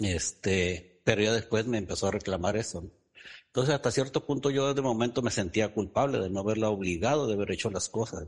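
Against a quiet background, a man with a plain, everyday voice talks at a fairly quick pace in a fairly low pitch, with ordinary pitch variation. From Ensenada, Baja California, Mexico. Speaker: parent asking question. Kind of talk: personal question and testimony. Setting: Zoom call.

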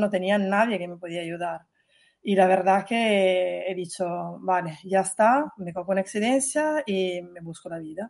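Her loudness swings widely as the woman talks at a moderate pace with ordinary pitch variation over a quiet background. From Italy. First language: Italian (speaking Spanish). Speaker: working mother, former hotel PR worker. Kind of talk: interview.

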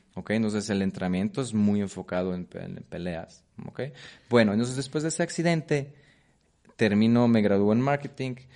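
With a Polish accent and lively intonation, a man speaks in a dark, mellow tone over a quiet background. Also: medium pitch for a man, fairly quick pace. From Poland. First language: Polish (speaking Spanish). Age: 30s. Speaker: Muay Thai coach. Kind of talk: interview. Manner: halting, repetitive.

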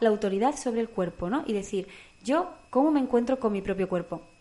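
This woman talks fairly fast. Her pitch rises and falls in a normal way. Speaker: podcast co-host. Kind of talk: casual chat.

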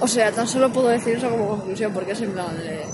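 A woman speaks in a fairly high voice with ordinary pitch variation. Noticeable background noise can be heard. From Madrid, Spain. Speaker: podcast co-host. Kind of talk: casual chat. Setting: in person, outdoors near concert venue.

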